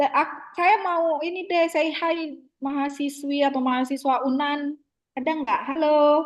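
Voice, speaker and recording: Intonation stays fairly even while the speech unfolds at a fairly slow pace. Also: woman, high pitch for a woman. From Jambi, Sumatra (Kuala Tungkal, coastal). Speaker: university lecturer. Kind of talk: online lecture discussion. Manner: casual, filler-heavy (gitu, eh).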